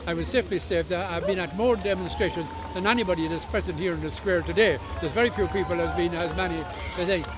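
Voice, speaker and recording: A man speaks very fast with an Irish accent. Background noise is noticeable. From Ireland. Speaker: protester, demonstration organiser. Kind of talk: street interview. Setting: outdoors at a protest. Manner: halting.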